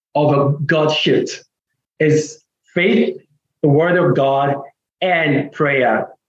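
A man's fairly high voice with an American accent. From Nigeria. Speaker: pastor and author. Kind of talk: interview about faith.

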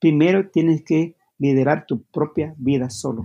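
The tone is dark and mellow. This man's pitch sits fairly high. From Guatemala, Maya community. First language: Q'anjob'al (Mayan language) (speaking Spanish). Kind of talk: interview. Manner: halting.

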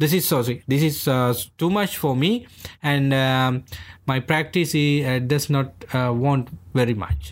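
A man with a Sri Lankan accent speaks at medium pitch with ordinary pitch variation and very even loudness, on a very clean recording with a silent background. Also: fairly slow pace. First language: Sinhalese. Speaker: Buddhist monk. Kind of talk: interview, explanatory conversation. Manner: halting, many fillers.

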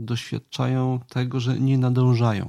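The man's voice is calm in tone, dark and mellow, and monotone and flat, moving at a very slow pace in a dry, close recording with no echo. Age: 50s. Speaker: podcast host on Stoicism. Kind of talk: reflective monologue.

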